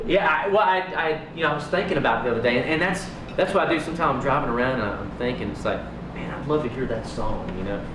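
Loud background noise fills the clip. A man talks over it at a very fast pace. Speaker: guest. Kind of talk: interview answer. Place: home room.

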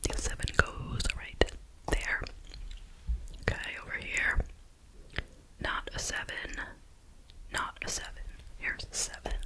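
The voice is soft-spoken, whispering at a fairly slow pace. Long, frequent pauses come often, with light background noise. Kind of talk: tutorial. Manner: soft ASMR whisper.

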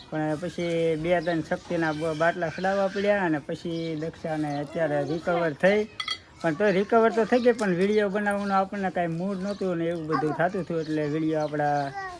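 Against noticeable background noise, a man talks in a high voice with ordinary pitch variation. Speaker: vlogger. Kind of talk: casual chat.

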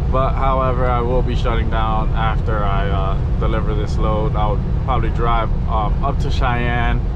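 Loud background noise fills the recording as this man speaks fairly slowly. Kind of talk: casual vlog chat. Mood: upbeat, relaxed. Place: car. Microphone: camera far.

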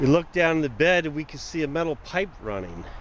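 Faint background noise and a moderate pace. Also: man.

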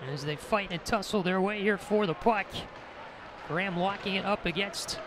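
Noticeable background noise sits under a man speaking at a moderate pace and high pitch, with a dry sound and no echo. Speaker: student radio play-by-play announcer. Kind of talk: commentary. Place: stadium.

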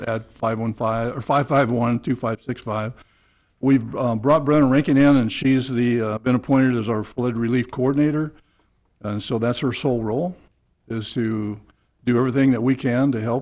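A man at a moderate pace with fairly even intonation and a quiet background. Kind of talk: public meeting address. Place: meeting room. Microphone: podium.

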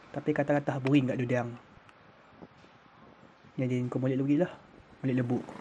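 With long, frequent pauses, a man speaks at a fairly quick pace, his medium pitch held in a monotone, flat intonation. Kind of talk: documentary commentary narration.

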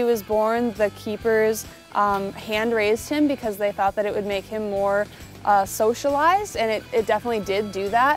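Faint music plays in the background as a woman speaks at a moderate pace with ordinary pitch variation, in a dry sound with no echo. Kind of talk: interview answer. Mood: warm, enthusiastic. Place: open country. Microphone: lapel.

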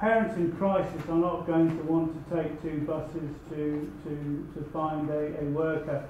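A man's fairly high voice at a fairly slow pace, fairly even in intonation, with audible room echo and light background noise. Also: hardly any pauses. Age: 50s. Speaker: audience member. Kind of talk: audience comment. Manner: halting. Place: meeting room. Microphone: camera far.

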